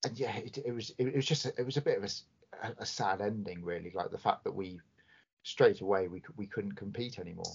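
This man talks at a fairly quick pace in a normal speaking voice. His pitch sits in the medium range. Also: ordinary pitch variation. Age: 30s. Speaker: football podcast co-host. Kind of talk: casual chat.

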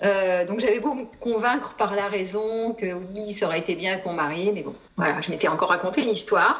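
Speaking fairly quickly at a medium pitch, a woman shows ordinary pitch variation, with audible room echo and noticeable background noise. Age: 50s. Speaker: psychologist and psychotherapist. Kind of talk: testimony. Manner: halting.

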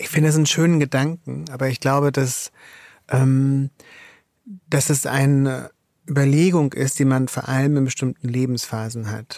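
In a very clean recording with a silent background, a man speaks at a medium pitch and moderate pace with fairly even intonation and long, frequent pauses. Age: 40s. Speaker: author. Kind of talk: interview. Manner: hesitant, many fillers.

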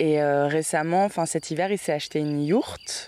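A woman speaks in a very deep, low voice. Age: 20s. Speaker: journalism student. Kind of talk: interview. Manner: hesitant, many fillers.

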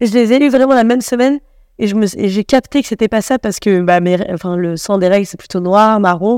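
A woman with a fairly high pitch and ordinary pitch variation speaks at a fairly quick pace, in a dry, close sound with no echo on a very clean recording with a silent background. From Paris. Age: 30s. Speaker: comedian. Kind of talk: casual chat. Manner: halting.

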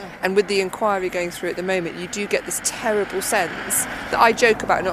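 Over noticeable background noise, a woman talks at a very fast pace. Her pitch is medium and her intonation fairly even. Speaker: street interviewer podcast host. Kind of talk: casual street interview chat. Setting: outdoors.

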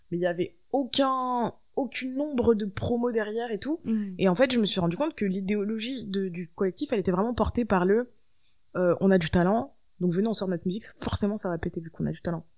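A woman's ordinary speaking voice at a medium pitch, with ordinary pitch variation and a fairly quick pace. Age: 20s. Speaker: musician. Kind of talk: interview. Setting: host's living room.

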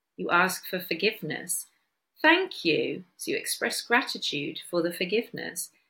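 A woman speaks with a Bristol accent. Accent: Bristolian English. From Bristol, England. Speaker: podcast host. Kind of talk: solo podcast talk on wellness.

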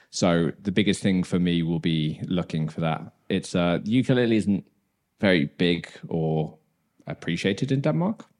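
Ordinary pitch variation accompanies talking done at a moderate pace. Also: man, very deep, low pitch for a man. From West Midlands, England (Dudley). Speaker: ukulele player and teacher. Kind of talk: casual chat.

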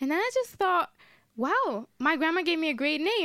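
In an Italian accent, the speaker uses lively intonation on a very clean recording with a silent background. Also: woman. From northern Italy (Modena). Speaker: singer-songwriter and producer. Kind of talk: casual interview. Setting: radio studio.

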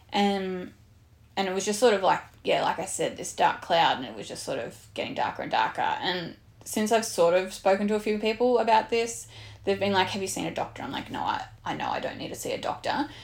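A woman with an Australian accent talks at a fairly quick pace, her loudness swinging widely. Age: 30s. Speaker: podcast host, fitness coach. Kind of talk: casual chat.

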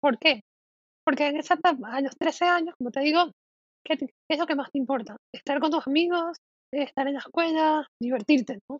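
At a moderate pace, a woman with a high pitch talks with ordinary pitch variation. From Panama. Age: 20s. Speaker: psychologist and content creator. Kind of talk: interview, personal story.

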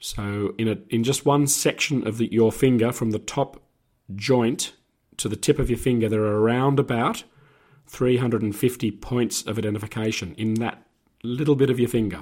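Over a silent background in a very clean recording, a man talks at a medium pitch with an Australian accent. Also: moderate pace. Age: 60s. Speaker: former police officer. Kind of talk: casual chat.

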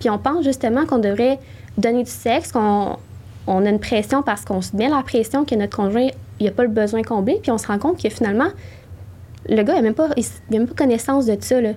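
With vocal fry and a dark, mellow tone, this woman talks at a fairly quick pace in a fairly high pitch, with ordinary pitch variation and long, frequent pauses. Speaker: sexologist. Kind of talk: interview.

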